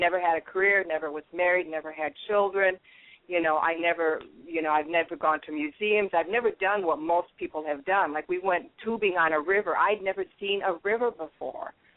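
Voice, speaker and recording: A woman with an American accent talks in an unremarkable speaking voice, fairly low in pitch, with ordinary pitch variation. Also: fairly quick pace. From US Midwest, Minnesota. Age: 60s. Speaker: guest sharing spiritual story. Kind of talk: casual interview.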